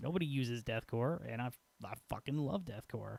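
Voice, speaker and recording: A quiet man with an American accent, medium pitch, ordinary pitch variation and a fairly quick pace. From Peoria, Illinois, US Midwest. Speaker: gaming streamer. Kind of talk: casual chat. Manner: loud, boisterous; quieter late at night. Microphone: quiet level through old mixer.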